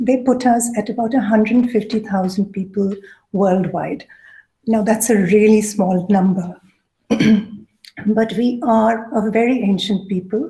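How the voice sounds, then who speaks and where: Soft-spoken and somewhat breathy, a woman talks at a fairly slow pace with a fairly high pitch, a dark, mellow tone and fairly even intonation. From Coorg, southern India. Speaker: food writer and researcher. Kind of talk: lecture.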